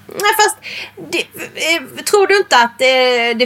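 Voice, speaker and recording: Over noticeable background noise, a woman talks at a fairly slow pace, her high pitch swinging very widely. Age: 30s. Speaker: podcast co-host. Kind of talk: casual chat; reading aloud.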